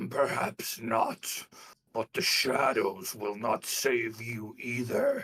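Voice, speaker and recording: A man puts on a character voice, guttural and raspy, at a medium pitch. He speaks at a very slow pace. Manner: menacing.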